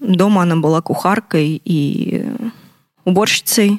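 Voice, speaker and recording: A woman talks at a very slow pace with lively intonation and a medium pitch. The sound is dry and close, with no echo. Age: 20s. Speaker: abuse survivor sharing her story. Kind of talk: testimony.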